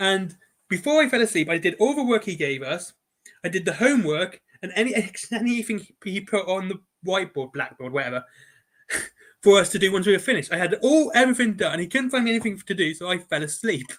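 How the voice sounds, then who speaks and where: A man with an English accent, high-pitched and speaking very fast with lively intonation. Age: 40s. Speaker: podcast host. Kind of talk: casual chat.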